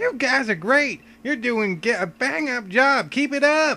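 In a put-on character voice, a man projects loudly at an extremely high pitch, moving at a fairly slow pace with lively intonation. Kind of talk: cheerful, cheering on.

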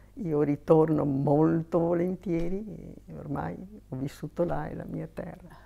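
A woman speaks at a fairly slow pace. Her voice is fairly low, with a dark, mellow tone. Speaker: missionary nun; interviewee. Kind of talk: interview testimony. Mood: warm, reflective. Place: home room. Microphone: lapel.

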